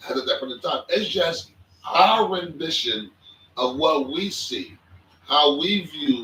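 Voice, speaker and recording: A man talks with ordinary pitch variation. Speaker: podcast co-host. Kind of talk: casual chat. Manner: quiet.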